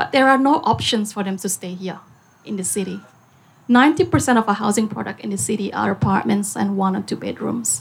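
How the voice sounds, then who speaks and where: Vocal fry colors this woman's medium-pitched voice. She talks at a fairly quick pace with ordinary pitch variation. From Singapore. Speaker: business owner. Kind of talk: panel talk.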